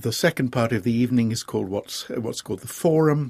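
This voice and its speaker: Dry and close with no echo, a man with an English accent speaks at medium pitch with lively intonation. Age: 60s. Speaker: theatre director. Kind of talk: interview. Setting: studio.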